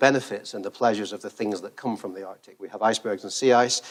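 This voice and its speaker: Speaking at a very fast pace, a man with a medium pitch has a British accent. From Britain. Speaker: research engineer. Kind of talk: conference keynote talk. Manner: hesitant, many fillers.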